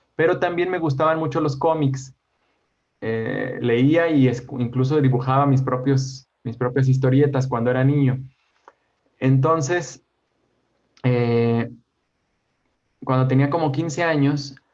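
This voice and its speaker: Speaking at a fairly slow pace with long, frequent pauses, a man at medium pitch is heard with audible room echo. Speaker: educational YouTube creator. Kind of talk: interview conversation.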